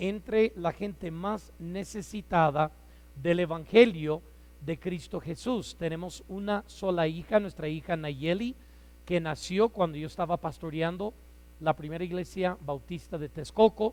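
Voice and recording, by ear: A loud man speaks at a fairly slow pace in a fairly high voice with ordinary pitch variation and a slightly mellow tone.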